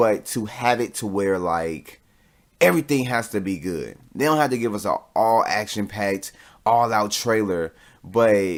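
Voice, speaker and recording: Recorded very cleanly with a silent background, a man with a fairly low pitch speaks with ordinary pitch variation. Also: fairly slow pace. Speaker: podcast host. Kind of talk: solo podcast review.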